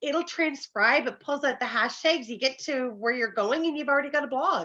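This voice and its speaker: A woman with a high pitch raises and projects her voice in a bright, sharp tone. She keeps a moderate pace with ordinary pitch variation. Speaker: bookkeeping professional. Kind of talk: casual chat.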